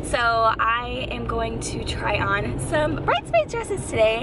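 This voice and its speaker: A woman is speaking with a dry sound with no echo. Noticeable background noise runs beneath her voice. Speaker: vlogger. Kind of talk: casual talk to camera. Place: car. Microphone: phone near.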